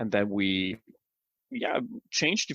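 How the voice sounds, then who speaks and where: Someone with a German accent speaks at a moderate pace, with a dry, close sound with no echo. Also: man. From Germany. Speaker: software author. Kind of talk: interview. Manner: halting, many repeated words.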